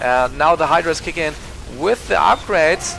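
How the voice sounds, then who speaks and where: A man with a German accent speaks at a fairly quick pace in an animated tone, with music playing in the background. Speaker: esports shoutcaster. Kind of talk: live commentary. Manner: halting, many fillers and restarts.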